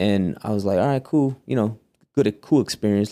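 With a dark, mellow tone and ordinary pitch variation, a man speaks at a fairly low pitch. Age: 30s. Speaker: barber. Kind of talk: casual chat.

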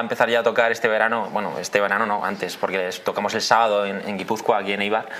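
A man at a very fast pace and medium pitch, hardly any pauses, noticeable background noise behind him. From Spain. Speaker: band member, musician. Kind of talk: casual interview.

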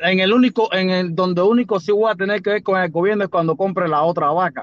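Speaking at a fairly quick pace, a man uses a high pitch with ordinary variation, recorded with a dry, close sound with no echo. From Cuba, Villa Clara. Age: 40s. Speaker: Cuban farmer. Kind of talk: casual chat on a live stream call.

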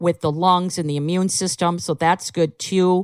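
A woman speaks in a plain, everyday voice, fairly low in pitch with fairly even intonation. The sound is dry and close with no echo, on a very clean recording with a silent background. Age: 50s. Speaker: canine herbalist. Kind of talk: casual chat.

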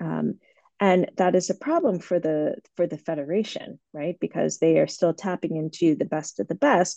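With an American accent, a woman speaks at a moderate pace in a fairly low pitch with vocal fry, a dark, mellow tone and ordinary pitch variation, the sound dry and close with no echo. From US, Boston. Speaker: historian and author. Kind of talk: interview. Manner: many fillers (um, uh, you know).

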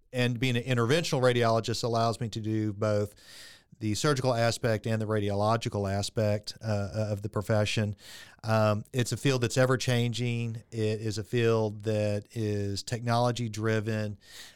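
A man with a Texan accent and monotone, flat intonation, in a very clean recording with a silent background. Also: medium pitch for a man, moderate pace. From Texas (Friendswood, Houston area). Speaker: interventional radiologist. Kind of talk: interview conversation. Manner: hesitant, many fillers and repeats.

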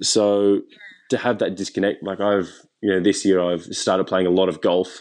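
Using monotone, flat intonation, a man with an Australian accent speaks at a moderate pace and a fairly low pitch. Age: 20s. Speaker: chef. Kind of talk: interview. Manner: halting.

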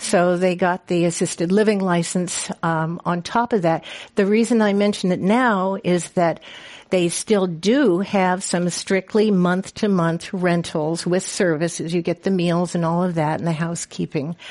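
A woman's normal speaking voice, fairly low in pitch, at a fairly slow pace, with fairly even intonation, very even loudness, and a quiet background. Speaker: retirement community marketing director. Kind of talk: panel talk. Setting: stage with audience.

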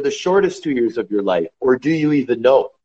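A man talks in a normal speaking voice at a moderate pace. His pitch is fairly high. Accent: Canadian. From Canada. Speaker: retired professional hockey player. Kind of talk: casual interview.

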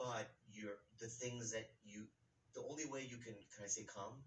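In an American accent, a man speaks at a moderate pace in a somewhat breathy voice of medium pitch. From Minnesota. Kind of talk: casual chat.

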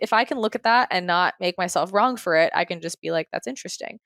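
A woman with an ordinary speaking voice, medium pitch and lively intonation at a fairly quick pace, on a very clean recording with a silent background and a dry, close sound with no echo. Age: 20s. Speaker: life coach and author. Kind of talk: casual chat.

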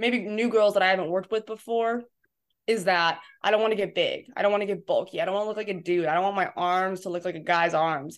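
With an American accent and a normal speaking voice, a woman talks at a fairly quick pace and a medium pitch with fairly even intonation, in a very clean recording against a silent background. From Southern California, San Diego. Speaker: college strength coach. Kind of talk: casual interview chat.

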